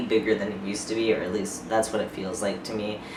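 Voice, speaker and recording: Speech at a very fast pace comes through audible room echo and noticeable background noise. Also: man. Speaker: vlogger. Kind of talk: casual vlog. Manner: hesitant, filler-heavy.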